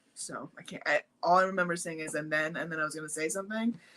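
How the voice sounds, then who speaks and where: Her voice is fairly low for a woman, with a bright, sharp, animated tone, ordinary pitch variation and a very fast pace. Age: 30s. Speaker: pregnant guest discussing motherhood. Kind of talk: casual chat.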